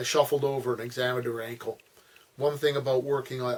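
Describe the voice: Intonation holds fairly even. The delivery is plain reading aloud.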